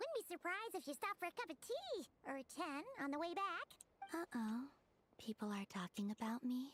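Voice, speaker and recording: Using a put-on character voice at a high pitch, the speaker moves at a moderate pace with very wide pitch swings. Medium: video game.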